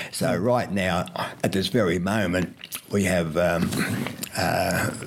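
A man with an Australian accent, a very deep, low pitch, and ordinary pitch variation, over noticeable background noise. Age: 90s. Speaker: retired doctor and radio health presenter. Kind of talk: interview. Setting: at home. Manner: halting.

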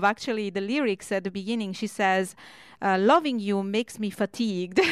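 Over a very clean, silent background, a woman at medium pitch uses fairly even intonation in an unremarkable speaking voice. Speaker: radio host. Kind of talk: live radio DJ patter introducing and recapping songs, with station IDs and show plugs. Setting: radio studio, live broadcast. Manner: friendly, chatty, conversational.

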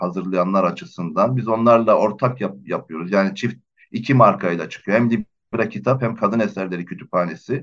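The man's voice sits at a fairly low pitch with ordinary pitch variation. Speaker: publisher. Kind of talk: radio interview. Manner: halting, many fillers.

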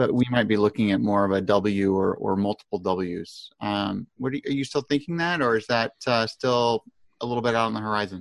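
Here a man talks at a fairly quick pace in an unremarkable speaking voice, with a fairly low pitch and ordinary pitch variation. The sound is dry and close, with no echo. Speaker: podcast host and newsletter publisher. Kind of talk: casual professional discussion. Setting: remote video call.

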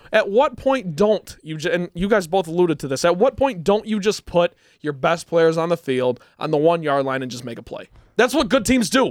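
The voice makes very wide pitch swings at a moderate pace. The recording is very clean, dry and close, with a silent background and no echo. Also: man, high pitch for a man. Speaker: college radio sports co-host. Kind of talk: casual sports talk. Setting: radio studio.

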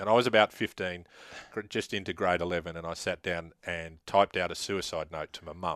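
A man's very deep, low voice at a fairly quick pace, with big swings in loudness, fairly even intonation and a dry, close sound with no echo against a quiet background. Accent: Australian. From Queensland, Australia (Laidley). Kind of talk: casual interview.

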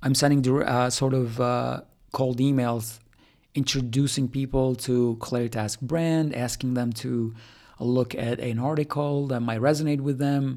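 A man with an Albanian accent speaks at a medium pitch and a fairly slow pace in a flat monotone, on a very clean recording with a silent background. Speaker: startup founder. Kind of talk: solo podcast monologue. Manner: casual, with many fillers.

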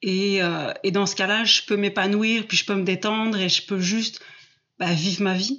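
Speaking at a moderate pace, a woman uses a medium pitch and ordinary pitch variation. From southwest France. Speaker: coach on fear, former biology teacher. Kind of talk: interview. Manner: hesitant, many fillers.

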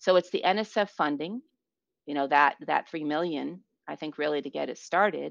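A woman with a very deep, low pitch and vocal fry speaks at a moderate pace with ordinary pitch variation. Her loudness swings widely, and the sound is dry and close with no echo. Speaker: physics professor. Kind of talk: casual interview. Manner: animated.

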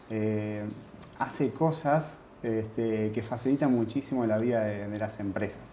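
A dark, mellow tone with a Uruguayan accent, ordinary pitch variation and a fairly slow pace. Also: man, medium pitch for a man. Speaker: university lecturer and project manager. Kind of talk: interview.

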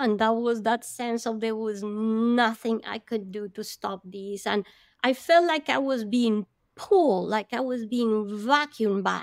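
At a fairly slow pace, a woman with a fairly high pitch and ordinary pitch variation is heard on a very clean recording with a silent background. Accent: Spanish. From Colombia (Bogota). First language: Spanish. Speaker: marine biologist and oceanographer. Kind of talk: interview testimony.

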